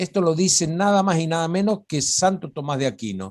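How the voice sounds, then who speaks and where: Very wide pitch swings mark a man's high voice in a very clean recording with a silent background. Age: 60s. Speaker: religious studies lecturer. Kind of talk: informal talk on biblical topics.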